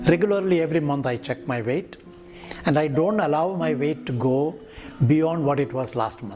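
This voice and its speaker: Music plays behind a man with an Indian accent. His pitch is fairly high and his pace moderate. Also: lively intonation. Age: 70s. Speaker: retired professor of virology, pediatrician. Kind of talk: interview. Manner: halting, with many fillers.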